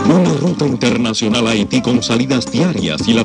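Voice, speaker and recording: Over music in the background, a man with a medium pitch talks at a moderate pace with lively intonation. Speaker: voice-over announcer. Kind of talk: commercial read.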